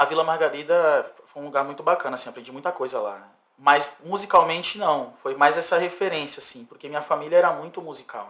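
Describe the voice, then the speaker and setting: With a normal speaking voice, a man talks at a fairly quick pace with hardly any pauses, his fairly high pitch showing ordinary variation and his loudness swinging widely. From São Vicente, São Paulo state, Brazil. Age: 30s. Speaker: singer-songwriter. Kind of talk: podcast interview.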